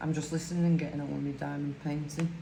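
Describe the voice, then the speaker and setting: A woman's very deep, low voice in a strong Lancashire accent, monotone and flat, with audible room echo and noticeable background noise. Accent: broad Lancashire. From northern England, Lancashire. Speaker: crafting YouTuber. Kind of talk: casual chat while crafting.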